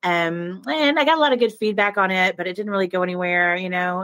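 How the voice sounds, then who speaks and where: Her voice sits at a medium pitch with ordinary pitch variation as a woman speaks at a fairly quick pace. The recording is very clean, with a silent background and a dry, close sound with no echo. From Oklahoma. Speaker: young adult novelist. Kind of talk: interview. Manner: hesitant, many fillers.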